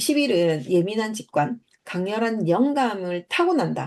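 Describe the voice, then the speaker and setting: A woman's fairly high voice, fairly slow, with very wide pitch swings and a quiet background. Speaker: numerology channel host. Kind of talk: lecture. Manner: hesitant, filler-heavy.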